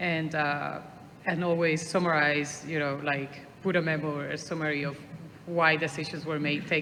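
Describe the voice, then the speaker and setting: Speaking in a Puerto Rican accent at a moderate pace, a woman has a very deep, low pitch and a monotone, flat intonation, with audible room echo and noticeable background noise. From Puerto Rico. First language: Spanish. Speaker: traffic engineer. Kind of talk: panel discussion.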